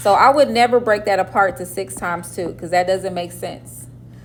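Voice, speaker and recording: A woman with vocal fry and very wide pitch swings. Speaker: math teacher. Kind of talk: classroom lecture. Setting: classroom with students. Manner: slow.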